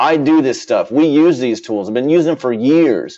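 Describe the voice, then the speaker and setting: This man talks loudly at a moderate pace. His pitch sits fairly high. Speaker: internet marketer and company founder. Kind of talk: webinar sales pitch. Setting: webinar broadcast. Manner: animated.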